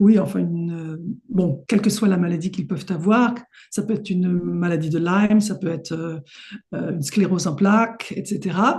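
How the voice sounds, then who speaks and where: A woman talks at a moderate pace with ordinary pitch variation. Her medium-pitched voice is somewhat breathy. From Paris, France. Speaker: homeopath. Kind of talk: interview.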